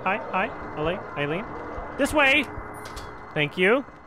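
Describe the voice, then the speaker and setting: Noticeable background noise sits beneath the voice. Its pitch swings very widely. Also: man. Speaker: gaming streamer. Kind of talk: let's play commentary.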